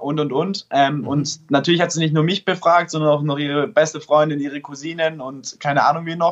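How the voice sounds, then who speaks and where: A man speaks in an unremarkable speaking voice. His pitch is fairly high and his intonation fairly even. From Stuttgart, Germany. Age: 20s. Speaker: app developer and startup founder. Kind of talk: casual interview.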